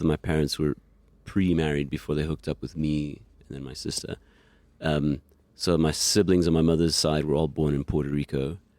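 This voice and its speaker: A man with an American accent, a very deep, low pitch and a dark, mellow tone, in a monotone, flat intonation at a moderate pace. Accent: American-rooted. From New York City, Queens. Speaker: musician. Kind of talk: casual interview chat.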